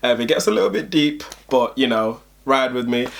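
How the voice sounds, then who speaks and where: This is a man talking. He has a London accent. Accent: London multicultural English. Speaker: YouTuber. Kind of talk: casual vlog talk. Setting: at home at night. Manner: soft-spoken; low energy.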